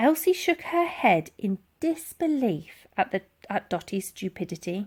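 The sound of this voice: Her pitch medium, a woman talks at a fairly slow pace with big pitch swings, a slightly husky edge and a slightly mellow tone.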